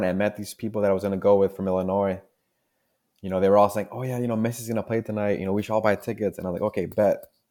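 A man speaks at a very fast pace in a fairly low pitch. His intonation is fairly even. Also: very clean recording, silent background. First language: Spanish. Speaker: junior geologist. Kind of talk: interview.

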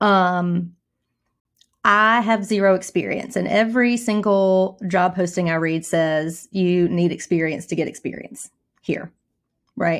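A woman with a plain, everyday voice speaks at a fairly slow pace in a medium pitch with fairly even intonation, on a very clean recording with a silent background. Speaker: podcast host and counselor. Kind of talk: interview.

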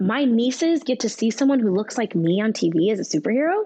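A woman with an American accent has an unremarkable speaking voice and a fairly high pitch. She moves at a moderate pace with lively intonation. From California, Bakersfield. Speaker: actress. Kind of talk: casual chat.

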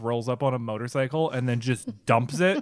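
A man at medium pitch and moderate pace with a normal speaking voice. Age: 30s. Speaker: comedian. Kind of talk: casual chat.

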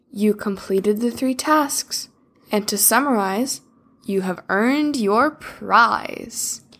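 Using a put-on character voice, a woman speaks fairly high and at a fairly slow pace. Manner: giggling.

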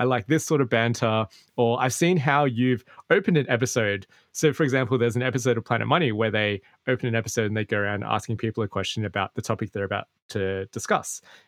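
A man with an Australian accent talks at a very fast pace and medium pitch with ordinary pitch variation, the sound dry and close with no echo against a quiet background. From Australia, Sydney. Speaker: podcast creator and host. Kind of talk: interview conversation.

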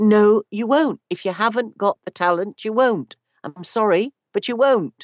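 A woman with a British accent, lively in her intonation, at a fairly slow pace. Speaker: audiobook narrator and narration coach. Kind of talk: casual interview.

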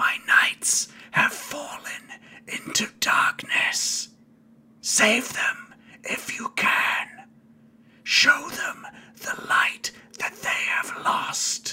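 A raspy, hissing put-on character voice pitched extremely high. It moves at a very slow pace with long, frequent pauses. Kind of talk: solemn, commanding.

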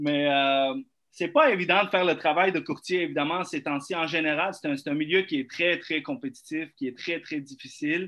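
A man with an ordinary speaking voice, fairly high in pitch, at a moderate pace with ordinary pitch variation. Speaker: real estate broker. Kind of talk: casual chat.

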